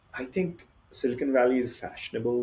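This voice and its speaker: A somewhat breathy voice with a dark, mellow tone speaks in an Indian accent. The pace is moderate and the pitch variation ordinary. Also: man. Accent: Indian English accent, noticeable. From India (Bihar). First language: Hindi or other Indian language. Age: 40s. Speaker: tech company founder and CEO. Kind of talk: podcast interview.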